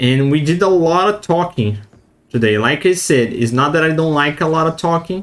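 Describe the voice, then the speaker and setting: Lively in intonation, a man with fairly high pitch talks at a moderate pace. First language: not English. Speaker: gaming streamer. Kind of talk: let's play commentary. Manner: halting.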